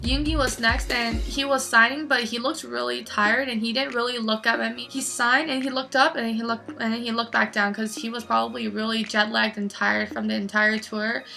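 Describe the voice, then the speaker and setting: The speech rushes along at a very fast pace with hardly any pauses. Noticeable background noise can be heard behind it. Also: woman. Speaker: fan vlogger. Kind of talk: personal story vlog. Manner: halting, stuttering.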